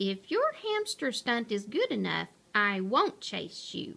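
In a put-on character voice, a woman speaks at a slow pace with fairly high pitch, very wide pitch swings, a fairly bright tone and vocal fry.

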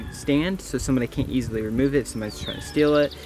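Light noise sits in the background. The sound is dry, with no echo. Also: man. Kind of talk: casual vlog chat. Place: open country. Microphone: phone near.

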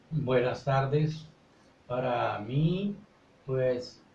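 Room echo can be heard clearly. The speaker is a man. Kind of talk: interview answer. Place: studio. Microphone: camera far.

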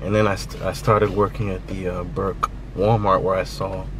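A man speaks at a moderate pace, with a dry sound with no echo and noticeable background noise. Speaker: vlogger. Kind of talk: casual vlog chat. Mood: reflective, nostalgic. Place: car. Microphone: phone near.

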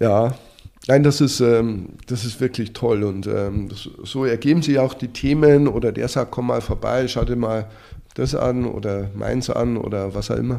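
At a fairly slow pace, a man speaks in a dark, mellow tone of medium pitch with fairly even intonation. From Bavaria, Germany. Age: 50s. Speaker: lifestyle blogger, former investment banker. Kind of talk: interview. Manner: halting, many fillers and repetitions.

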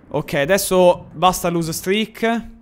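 Over faint background music, a man talks at a high pitch with ordinary pitch variation. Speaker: gaming streamer. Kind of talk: live stream commentary.

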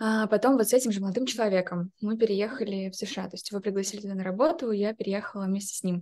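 Very fast delivery with hardly any pauses, a dark, mellow tone and big swings in loudness over a quiet background. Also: woman, medium pitch for a woman, ordinary pitch variation. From Ukraine. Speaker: product designer. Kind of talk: interview answer. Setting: video call. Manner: anxious, hesitant. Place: home room. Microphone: video call.

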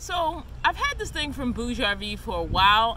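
A woman's voice sounds dry with no echo, set against noticeable background noise. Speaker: van life vlogger. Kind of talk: casual vlog chat / product review. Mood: relaxed, a bit apologetic. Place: open country.

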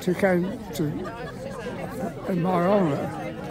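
A man talks over noticeable background noise in a dry recording with no echo. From Salisbury, Wiltshire, England. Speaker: rambler, war veteran. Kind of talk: interview answer. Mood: cheerful, pleased, modest. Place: open country.

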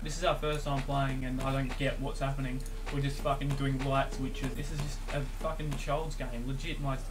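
A man talks at a moderate pace with noticeable noise behind him. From Australia. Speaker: gamer. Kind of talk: casual gaming commentary. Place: home room.

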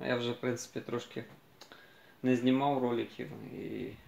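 A man speaks at a fairly slow pace. Room echo is audible. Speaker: vlogger. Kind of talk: casual vlog chat. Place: street. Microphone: phone near.

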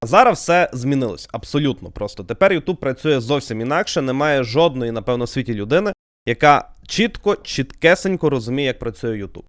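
Here is a man with an ordinary speaking voice. His pitch is medium and his intonation lively. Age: 20s. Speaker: YouTuber. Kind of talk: podcast monologue.

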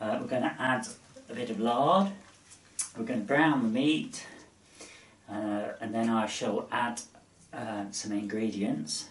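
Speaking fairly slowly, a man is heard with audible room echo. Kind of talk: cooking tutorial. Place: kitchen. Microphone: camera far.

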